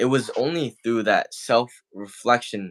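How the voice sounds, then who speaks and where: A man speaks at a very slow pace on a very clean recording with a silent background. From western Canada. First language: not English. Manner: halting, repeats words.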